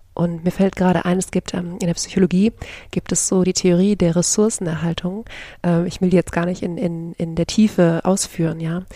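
Her delivery is flat and monotone. The woman keeps to a moderate tempo. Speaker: podcast host, coach and yoga teacher. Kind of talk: solo podcast monologue. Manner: hesitant with many fillers.

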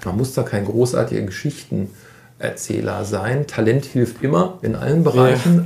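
A man talks in an ordinary speaking voice at medium pitch, with ordinary pitch variation. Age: 40s. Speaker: youth football coach. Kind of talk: interview.

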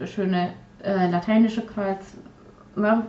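A woman speaks very slowly in a medium pitch, her voice somewhat breathy and her intonation fairly even. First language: Polish (speaking German). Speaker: podcast co-host, hobby artist. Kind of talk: casual chat. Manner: halting, many fillers and repetitions.

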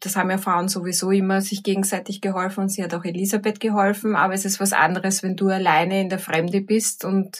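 A woman speaks with a Viennese accent at a medium pitch, sounding somewhat breathy. Her pace is fairly quick. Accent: Viennese Austrian German. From Vienna, Austria. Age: 50s. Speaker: teacher and coach. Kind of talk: reflective talk with guided exercise.

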